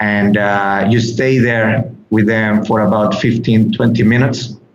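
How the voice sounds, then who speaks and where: Speaking at a fairly slow pace with a Mexican accent, a man is heard with audible room echo. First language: Spanish. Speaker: animal sanctuary guide. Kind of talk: interview. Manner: halting, frequent repetitions.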